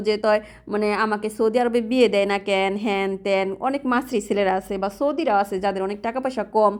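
Her voice is fairly high, and the woman keeps her intonation fairly even. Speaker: vlogger and domestic worker. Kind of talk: casual vlog narration. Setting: outdoors walking to shop.

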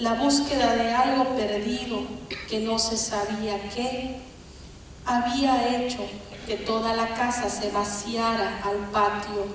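A woman with a fairly high pitch speaks very slowly in a flat monotone. Strong room echo and light background noise surround her voice. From Bolivia. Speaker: poet. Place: stage.

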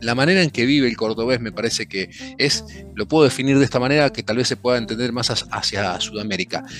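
Faint music plays behind a man who talks at a fairly quick pace with ordinary pitch variation, the sound dry with no echo. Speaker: podcast guest, drinks creator. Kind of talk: interview answer. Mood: relaxed, warm, humorous. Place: home room. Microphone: headset.

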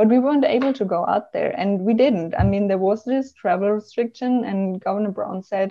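A woman with a German accent against a quiet background. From Germany. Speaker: travel blogger and marketing professional; travel blogger. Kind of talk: interview conversation. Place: home room. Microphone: video call.

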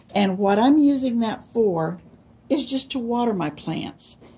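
Her tone is dark and mellow, and somewhat breathy. The woman speaks at a fairly slow pace. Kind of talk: casual tutorial. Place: garden.

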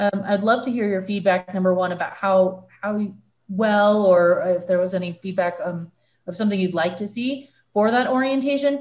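A woman at a moderate pace, with ordinary pitch variation over a quiet background. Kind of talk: meeting chairing remarks. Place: home room. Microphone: video call.

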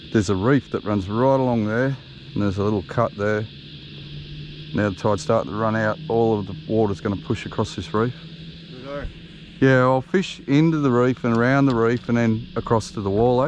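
A man at a fairly quick pace, ordinary pitch variation, dry sound with no echo, music in the background. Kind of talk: casual fishing commentary. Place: boat. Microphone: camera far.

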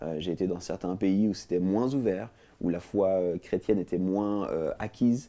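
At a fairly slow pace, a man talks with a very deep, low pitch and a dark, mellow tone. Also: ordinary pitch variation. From Switzerland, Lausanne; Switzerland. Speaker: talk show guest. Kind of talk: interview; interview answer. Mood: calm, friendly. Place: studio. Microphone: lapel.

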